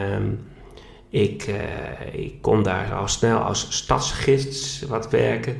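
Speech comes at a very slow pace against noticeable background noise and audible room echo. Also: man. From Netherlands, Groningen area. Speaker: flamenco guitarist and educational content developer. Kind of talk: interview, personal story. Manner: halting, many filler sounds.

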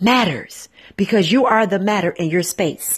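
Speaking at a very slow pace, a woman uses a medium-pitched voice that is somewhat breathy and intense in tone. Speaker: radio host and spiritual motivational speaker. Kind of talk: fervent prayer and guided spiritual meditation, addressing listeners. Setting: live broadcast.

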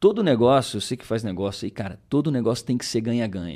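Very clean and recorded against a silent background, the speech moves at a very fast pace with lively intonation. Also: man. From southern Minas Gerais, Brazil (rural). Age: 30s. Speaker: entrepreneur, accident survivor. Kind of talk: casual interview chat. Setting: studio, livestreamed podcast.

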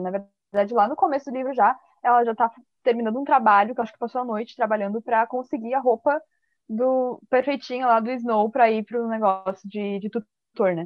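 A woman talks at a fairly quick pace in a normal speaking voice, her fairly high pitch showing ordinary variation. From Santa Catarina, southern Brazil. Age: 20s. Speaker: podcast guest. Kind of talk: casual chat. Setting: video call.

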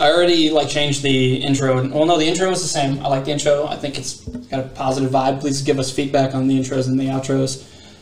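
With noticeable background noise behind him, a man speaks at a fairly high pitch. His pace is very fast, with hardly any pauses and a monotone, flat intonation. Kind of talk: casual chat. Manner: mumbling.

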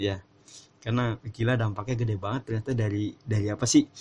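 Very fast and monotone, with flat intonation, a man talks at a medium pitch. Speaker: podcast host. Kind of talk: casual solo podcast with reading from articles.

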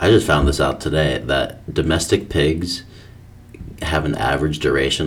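Mumbling, a man talks with a very deep, low pitch and ordinary pitch variation. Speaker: podcast co-host. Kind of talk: casual chat.

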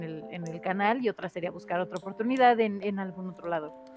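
Over music in the background, a woman talks at a very fast pace with a medium pitch and ordinary pitch variation. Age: 30s. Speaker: content creator. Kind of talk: casual chat.

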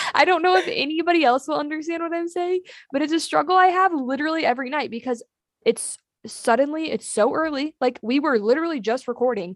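Her pitch is high and her intonation lively. The woman talks at a very fast pace. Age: 20s. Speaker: podcast co-host. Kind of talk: casual chat.

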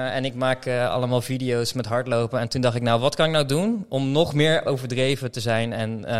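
The background is silent and the recording very clean. An ordinary speaking voice keeps fairly even intonation at a moderate pace. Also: man. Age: 30s. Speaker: podcast host. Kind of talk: casual chat.

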